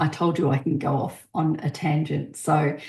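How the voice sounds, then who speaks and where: A woman is speaking. She has an Australian accent. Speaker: podcast host. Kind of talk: casual podcast monologue. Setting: podcast recording.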